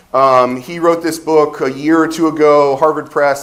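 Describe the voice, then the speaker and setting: A man with an American accent, in a room with audible echo. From Ohio, US Midwest. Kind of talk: conference talk. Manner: loud.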